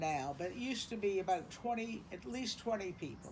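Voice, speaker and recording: With an American accent and lively intonation, a woman speaks at medium pitch amid audible room echo. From South Carolina, Charleston. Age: 70s. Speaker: interviewee recounting family history. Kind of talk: oral history interview. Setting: beach house porch.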